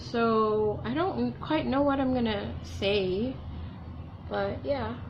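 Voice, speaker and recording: A soft-spoken woman talks at a very slow pace, her loudness very even. Room echo is audible, along with noticeable background noise. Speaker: beauty vlogger. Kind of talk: casual makeup tutorial chat. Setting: at home alone. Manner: quiet, soft-spoken.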